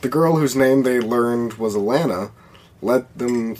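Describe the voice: The speaker is doing plain reading aloud. The pitch varies in an ordinary way.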